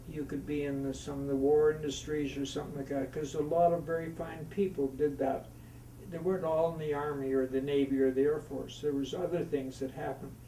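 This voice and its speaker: A man speaks at a fairly quick pace in a monotone, flat intonation. Audible room echo and noticeable background noise surround him. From Canadian Prairies, Saskatchewan. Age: 80s+. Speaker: war veteran. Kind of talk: oral history interview. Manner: halting.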